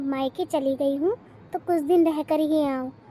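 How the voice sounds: A cartoonish character voice moves at a moderate pace while music plays clearly in the background. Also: woman.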